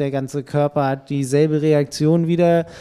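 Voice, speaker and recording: A man's fairly high voice, dark and mellow in tone, with fairly even intonation at a fairly slow pace. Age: 30s. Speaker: triathlon magazine editor. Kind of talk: casual chat.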